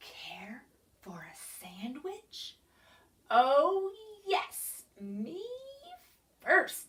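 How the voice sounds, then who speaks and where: A female-sounding put-on character voice, high in pitch with very wide swings, goes very slowly with long, frequent pauses. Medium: read story.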